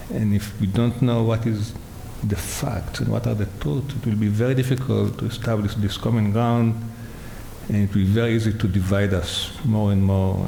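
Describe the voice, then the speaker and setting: A man with a non-native accent speaks at a fairly low pitch with fairly even intonation, amid noticeable background noise and audible room echo. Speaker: neuroscientist. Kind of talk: panel discussion.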